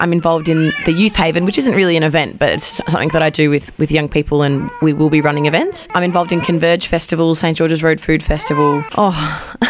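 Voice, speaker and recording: A woman with an Australian accent, very fast pace and hardly any pauses, fairly low pitch, fairly even intonation, very even loudness, and noticeable background noise. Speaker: community event organiser. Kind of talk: radio interview. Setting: studio.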